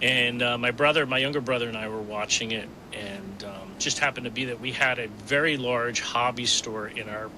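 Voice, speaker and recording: A man with an American accent at medium pitch, fairly even intonation, a fairly quick pace and hardly any pauses, over noticeable background noise. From New Jersey. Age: 60s. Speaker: miniatures company owner. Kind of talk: casual interview.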